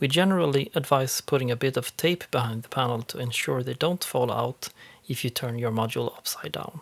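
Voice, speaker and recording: A man's medium-pitched voice with a Swedish accent, fairly quick, in a very clean recording with a silent background and a dry, close sound free of echo. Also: ordinary pitch variation. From Sweden. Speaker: eurorack panel maker. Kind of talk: tutorial voice-over.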